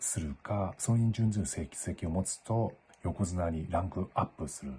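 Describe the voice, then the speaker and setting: Very deep and low, a man's somewhat breathy voice has a dark, mellow tone. He talks at a moderate pace with lively intonation. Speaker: Japanese language teacher. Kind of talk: casual talk to camera. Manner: clear.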